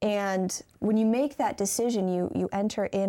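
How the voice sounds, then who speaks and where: With an American accent, a woman speaks at a moderate pace with fairly even intonation in a plain, everyday voice. The recording is very clean, with a silent background. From Michigan. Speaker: university student. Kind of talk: Bible study discussion.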